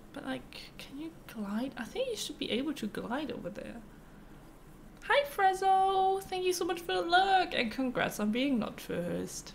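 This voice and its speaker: Her pitch is high, and it moves in very wide swings. The woman speaks at a fairly slow pace over light background noise. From North Germany. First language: German. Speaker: streamer. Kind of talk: live gameplay commentary. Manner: casual, chatty. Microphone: studio mic.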